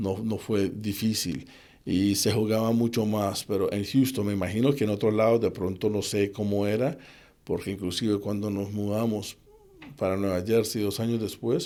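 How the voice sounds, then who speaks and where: Fairly low and dark with a mellow tone, a man's voice moves at a moderate pace with fairly even intonation. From Colombia, Cali. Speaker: assistant football coach. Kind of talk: interview conversation.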